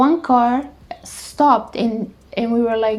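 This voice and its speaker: The pitch of this woman's voice sits fairly high. She talks at a very slow pace. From Romania, Bucharest. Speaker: travel vlogger. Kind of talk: casual chat. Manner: animated, with frequent false starts.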